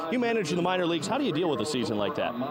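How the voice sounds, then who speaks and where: There is noticeable background noise behind a man whose pitch is high. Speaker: sports broadcaster. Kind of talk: live sports broadcast opening.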